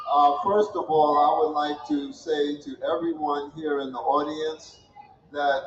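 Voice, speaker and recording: A man talks fairly slowly in a fairly high pitch, with noticeable background noise present. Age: 80s+. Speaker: retired engineer and community elder. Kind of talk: commencement speech. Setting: ceremony with audience.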